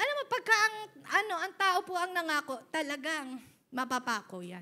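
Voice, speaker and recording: A woman speaks at a moderate pace in a raised, projected voice with an extremely high pitch and a bright, sharp tone. Her tone is animated, with very wide pitch swings and big swings in loudness. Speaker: pastor. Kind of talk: sermon.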